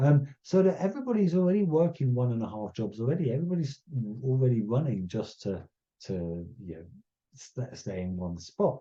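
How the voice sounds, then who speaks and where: A man with a medium pitch and a somewhat breathy voice makes very wide pitch swings and big swings in loudness. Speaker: conservation scientist. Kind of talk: lecture. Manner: slow; halting.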